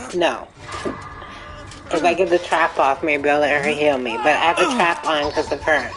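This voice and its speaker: Over music in the background, the speech keeps a moderate pace and fairly even intonation, with long, frequent pauses. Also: woman, very deep, low pitch for a woman. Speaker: video game streamer. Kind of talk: live gameplay commentary.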